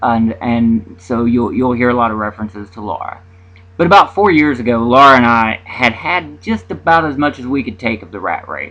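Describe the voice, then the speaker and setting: A man speaks with a bright, sharp tone at a medium pitch. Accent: Appalachian. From US South, Southwest Virginia mountains. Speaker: independent author vlogger. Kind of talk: casual vlog monologue. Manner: halting, many fillers and repetitions.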